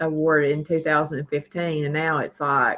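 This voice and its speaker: In a Tennessee accent, a woman speaks at a moderate pace. Her very deep, low pitch holds a monotone, flat intonation. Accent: US Southern (Tennessee). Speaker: livestream host. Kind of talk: casual livestream chat. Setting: live stream.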